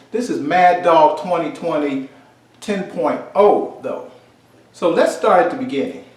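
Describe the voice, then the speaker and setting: The speaker has an animated tone and lively intonation at a fairly slow pace, with noticeable background noise. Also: man, high pitch for a man. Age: 60s. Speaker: commentator. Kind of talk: casual chat.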